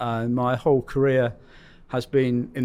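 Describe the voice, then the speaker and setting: A man with a British accent and a medium-pitched voice. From United Kingdom. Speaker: rail customer experience executive. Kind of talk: podcast interview.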